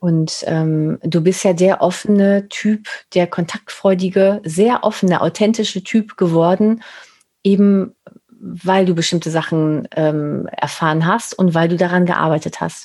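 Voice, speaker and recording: A woman with a dark, mellow tone speaks at a fairly slow pace, her fairly low pitch kept to a fairly even intonation. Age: 40s. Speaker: podcast host and image consultant. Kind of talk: casual interview chat.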